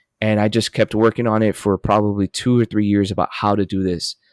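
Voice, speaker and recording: Recorded very clean against a silent background, with a dry, close sound and no echo, a man with a Spanish accent speaks at a moderate pace, his pitch fairly low and his intonation fairly even. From US, Miami (Colombian family). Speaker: coffee company founder. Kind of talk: interview storytelling.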